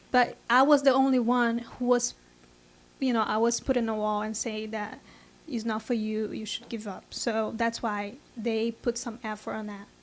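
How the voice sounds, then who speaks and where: A woman's fairly high voice holds a monotone, flat intonation as she talks at a moderate speed. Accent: Brazilian Portuguese. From Brazil. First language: Portuguese. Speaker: software engineer. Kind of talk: interview. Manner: halting.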